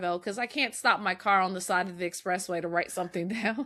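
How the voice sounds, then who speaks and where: A bright, sharp tone at a very fast pace. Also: woman. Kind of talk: casual chat.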